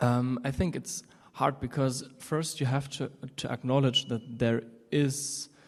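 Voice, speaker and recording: At a fairly slow pace, a man with a German accent talks at a medium pitch with fairly even intonation. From Germany. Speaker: audience member. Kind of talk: audience question. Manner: halting.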